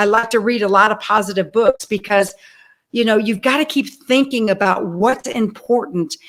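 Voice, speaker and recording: A woman's ordinary speaking voice, fairly high-pitched, at a moderate pace with ordinary pitch variation and very even loudness. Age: 50s. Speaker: diabetes advocate and motivational speaker. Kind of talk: podcast interview.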